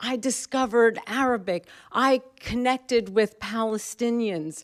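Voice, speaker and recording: With an American accent, a woman talks with ordinary pitch variation in a dry, close sound with no echo. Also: fairly high pitch for a woman. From New York, Brooklyn. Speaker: professor. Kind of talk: panel talk. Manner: halting.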